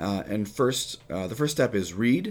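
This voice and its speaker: A man speaks with vocal fry in a very clean recording with a silent background. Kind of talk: religious teaching on prayer; casual chat.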